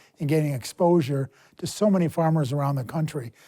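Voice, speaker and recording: A man with an American accent speaks at a moderate pace and a fairly high pitch, with fairly even intonation and a dark, mellow tone. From Chicago. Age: 70s. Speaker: market analyst. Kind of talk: panel discussion, recollection.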